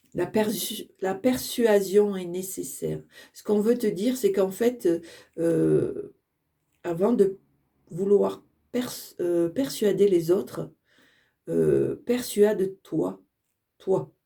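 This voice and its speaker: Long, frequent pauses interrupt delivery that is already very slow. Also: woman, big swings in loudness. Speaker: tarot card reader. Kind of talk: channeled oracle card reading. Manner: halting.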